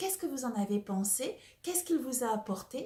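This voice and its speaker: Whispering, a soft-spoken woman talks. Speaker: personal development coach. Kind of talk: casual talk to camera about a book. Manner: partly whispered, soft.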